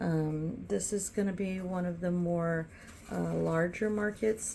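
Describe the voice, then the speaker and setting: At a very slow pace, a woman speaks in a fairly low voice with a dark, mellow tone and fairly even intonation. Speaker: candle maker and market vendor. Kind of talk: casual vlog tutorial. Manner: hesitant, many fillers.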